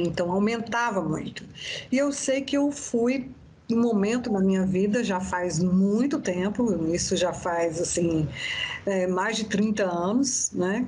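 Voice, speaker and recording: Lively intonation comes through in a somewhat breathy voice. Audible room echo surrounds it. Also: woman. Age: 60s. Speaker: therapist and biodanza facilitator. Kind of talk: interview.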